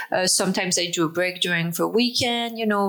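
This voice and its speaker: A woman with a French accent and ordinary pitch variation. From France. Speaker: author and speaker on microdosing. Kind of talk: interview.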